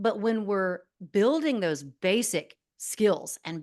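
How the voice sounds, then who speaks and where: A woman speaks at a medium pitch with lively intonation. The background is quiet. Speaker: speech and debate coach, former news anchor. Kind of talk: podcast interview. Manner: fast.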